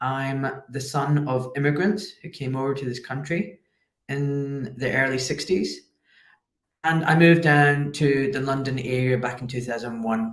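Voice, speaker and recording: This man has a medium-pitched voice with ordinary pitch variation and speaks with a Scottish accent. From Scotland, Glasgow. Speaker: orthopedic surgeon. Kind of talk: interview.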